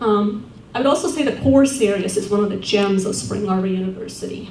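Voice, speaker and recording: A woman with an Estonian accent speaks at a fairly quick pace, at medium pitch with ordinary pitch variation. Audible room echo and noticeable background noise fill the recording. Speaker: award-winning alumna, social work academic. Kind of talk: award acceptance speech. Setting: banquet with audience.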